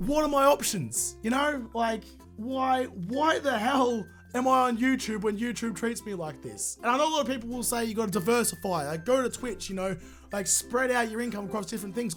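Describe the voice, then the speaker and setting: A man's extremely high voice with an Australian accent, a fairly quick pace and music in the background. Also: ordinary pitch variation. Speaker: gaming YouTuber. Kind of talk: casual talk to camera.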